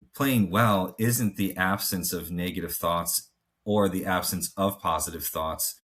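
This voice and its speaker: A normal speaking voice, captured in a very clean recording with a silent background. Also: man. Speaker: mental performance coach. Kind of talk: podcast discussion. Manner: casual, many filler words.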